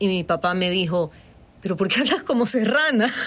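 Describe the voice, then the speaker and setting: A woman with a Guayaquil accent has a fairly low pitch and lively intonation. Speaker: voice-over artist and university lecturer. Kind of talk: casual interview. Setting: studio.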